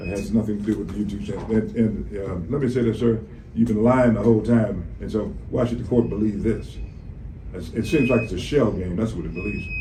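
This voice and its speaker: With audible room echo, a man talks at a fairly low pitch using ordinary pitch variation. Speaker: attorney. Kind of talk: courtroom cross-examination. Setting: courtroom. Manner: loud.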